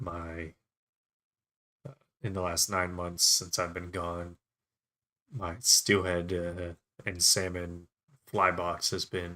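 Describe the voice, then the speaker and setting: A man's very deep, low voice, bright and sharp in tone, monotone with flat intonation, at a very slow pace with long, frequent pauses. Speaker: fishing channel host, fly tier. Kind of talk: casual livestream tutorial.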